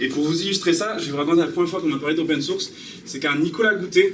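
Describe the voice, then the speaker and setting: A man talks at a very fast pace in a slight Basque accent, with a fairly high pitch and fairly even intonation. Audible room echo and noticeable background noise fill the recording. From French Basque Country. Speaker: software developer giving a talk. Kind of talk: conference talk. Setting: talk in front of an audience, filmed. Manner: casual, hesitant with many fillers.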